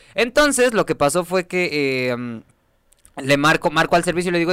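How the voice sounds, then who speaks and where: Very fast and high-pitched, a man talks with very wide pitch swings in a dry, close sound with no echo. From Mexico City. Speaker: podcast host. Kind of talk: casual chat.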